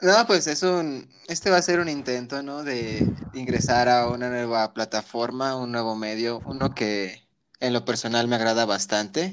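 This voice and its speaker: A man speaks at a fairly slow pace in a normal speaking voice. His medium pitch shows ordinary variation. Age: 20s. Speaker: podcast co-host. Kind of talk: casual chat.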